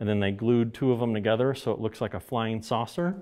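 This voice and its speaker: The setting behind the voice is quiet. It is a man who speaks. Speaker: guest. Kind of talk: interview answer. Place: studio.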